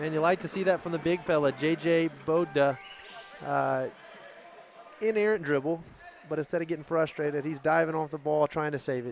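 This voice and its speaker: Noticeable background noise surrounds a man with an American accent and a fairly high pitch. He talks at a fairly quick pace with fairly even intonation. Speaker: basketball commentator. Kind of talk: live commentary.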